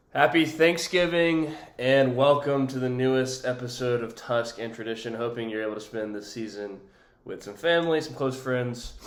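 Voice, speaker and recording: A man's medium-pitched speech echoes audibly off the room. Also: ordinary pitch variation, moderate pace. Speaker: college football podcast host. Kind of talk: casual sports commentary. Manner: hesitant, many fillers.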